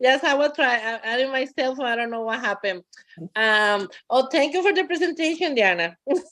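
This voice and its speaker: Bright and sharp in tone, a woman with a Costa Rican accent speaks high and fairly quickly with lively intonation on a very clean recording with a silent background. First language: Spanish. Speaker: bilingual parent educator. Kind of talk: public meeting remarks.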